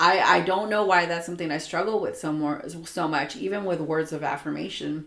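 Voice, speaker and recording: A woman's fairly low voice, fairly quick with hardly any pauses and ordinary pitch variation, with audible room echo. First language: Spanish. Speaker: podcast co-host. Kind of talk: casual chat. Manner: casual, many fillers.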